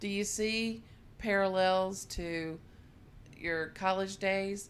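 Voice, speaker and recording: A woman speaks in an unremarkable speaking voice. Her intonation is fairly even. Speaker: podcast host. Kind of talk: casual interview chat. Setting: on location at guest's place.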